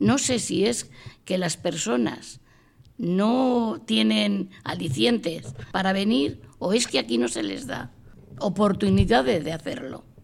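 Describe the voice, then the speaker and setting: The pace is very slow and the pitch swings very widely. Vocal fry runs through the voice. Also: woman, fairly low pitch for a woman. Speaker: widow, senior center member. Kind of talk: group discussion. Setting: senior center.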